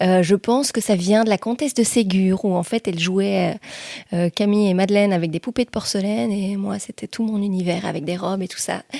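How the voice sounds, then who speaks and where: In a dry, close sound with no echo, a woman talks at a fairly quick pace in a medium pitch with ordinary pitch variation. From Belgium, Liège province (Hesbaye). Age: 40s. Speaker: journalist and TV/radio presenter. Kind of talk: podcast interview. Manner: hesitant, many fillers.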